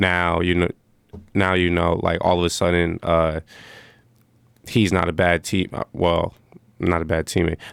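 On a very clean recording with a silent background, a man with a very deep, low voice talks at a fairly slow pace in a monotone, flat intonation with long, frequent pauses. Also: very even loudness, dry, close sound with no echo. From US Northeast, Stamford, Connecticut. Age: 20s. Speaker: college basketball player and student. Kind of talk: casual chat. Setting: studio. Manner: halting, many fillers.

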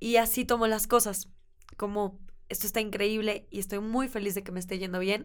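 There are big swings in loudness as a woman speaks with monotone, flat intonation. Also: medium pitch for a woman, moderate pace. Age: 20s. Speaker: sustainable fashion entrepreneur. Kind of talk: interview.

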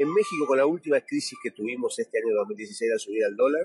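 A man with an Argentine accent talks at a fairly quick pace, his voice dry and close with no echo. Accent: Argentine Spanish, voseo. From Argentina, small town. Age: 50s. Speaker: financial analyst, technical analysis. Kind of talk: interview.

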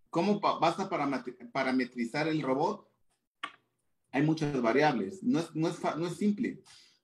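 With lively intonation and long, frequent pauses, a man speaks at fairly high pitch. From Mexico, Chiapas. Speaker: tax and anti-money-laundering specialist. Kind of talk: interview. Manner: halting.

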